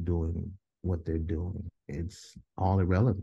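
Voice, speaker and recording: A man with an American accent speaks at a very slow pace in a very deep, low pitch. His tone is dark and mellow and somewhat breathy. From Des Moines, Iowa. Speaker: mental health counselor. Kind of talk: interview.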